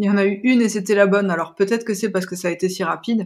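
This is a normal speaking voice. The intonation stays fairly even. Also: woman. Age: 30s. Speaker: expectant mother. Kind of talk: testimony.

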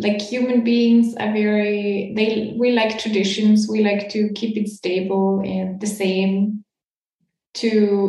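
In a German accent, the speaker talks at a very slow pace with flat, monotone intonation, a dark, mellow tone, and a somewhat breathy voice, with audible room echo around it. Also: woman. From Austria. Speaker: podcast host, coach. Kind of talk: interview; guided imagination.

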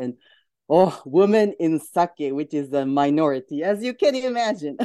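The speaker has a Japanese accent and a moderate pace. Behind the voice, the background stays quiet. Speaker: entrepreneur. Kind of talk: casual chat.

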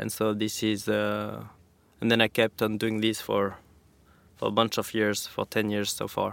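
A man talks at a moderate pace. The background is silent, and the recording is very clean. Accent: French. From France, Pyrenees. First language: French. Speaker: professional snowboarder. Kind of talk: interview. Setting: studio.

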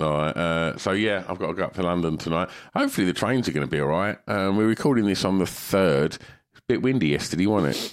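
The speech comes at a very fast pace with hardly any pauses, in an English accent. Pitch variation is ordinary, and the very clean recording has a silent background. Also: man, very deep, low pitch for a man. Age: 50s. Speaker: podcast co-host. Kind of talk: casual chat.

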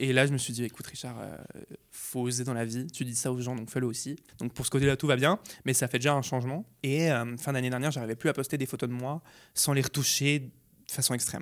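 In a very clean recording with a silent background, a man with an unremarkable speaking voice talks at a fairly quick pace, at medium pitch and with fairly even intonation. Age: 20s. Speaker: beauty YouTuber. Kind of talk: interview testimony.

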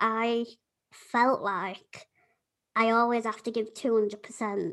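With a Yorkshire accent and fairly even intonation, the voice comes through on a very clean recording with a silent background. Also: woman. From Yorkshire, England. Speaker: podcast host.

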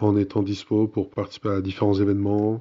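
A man speaks at a moderate pace. His pitch is fairly low. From Burgundy, France. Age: 20s. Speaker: environmental NGO communications manager. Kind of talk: interview.

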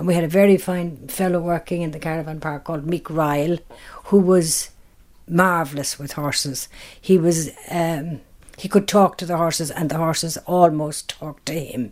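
Speaking with a Kerry accent, a woman uses a fairly low pitch and fairly even intonation at a moderate pace, with big swings in loudness. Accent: Kerry Irish. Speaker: tour business co-owner. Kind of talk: interview. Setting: at home.

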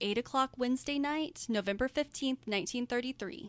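A high-pitched woman's voice with an American accent and ordinary pitch variation, in a dry, close sound with no echo. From US, Oklahoma and Florida. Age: 30s. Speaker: guest co-host. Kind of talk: casual comedic chat and storytelling.

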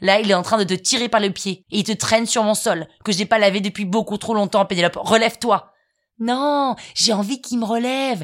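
At a moderate pace and medium pitch, a woman speaks in an animated tone with ordinary pitch variation, in a very clean recording with a silent background. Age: 30s. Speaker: podcast host, storyteller. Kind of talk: scripted comic storytelling.

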